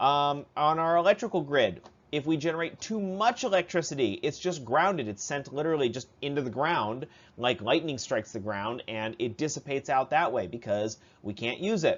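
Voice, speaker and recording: A man with an American accent speaks at a fairly high pitch, his voice swinging very widely up and down. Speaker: high school science teacher. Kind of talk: recorded lecture review. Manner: fast; casual, with many fillers.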